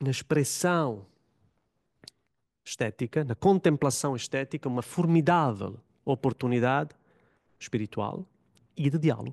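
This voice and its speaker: Speaking with an Italian accent and long, frequent pauses, a man with a fairly high voice and ordinary pitch variation is heard with a dry, close sound and no echo. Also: fairly slow pace, quiet background. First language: Italian (speaking Portuguese). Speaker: religious studies academic, panel commentator. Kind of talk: panel talk. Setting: conference room with audience.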